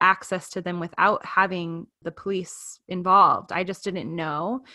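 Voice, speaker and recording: A woman talks at a fairly slow pace and a medium pitch. She has a plain, everyday voice. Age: 30s. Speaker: marketing expert. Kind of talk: interview testimony.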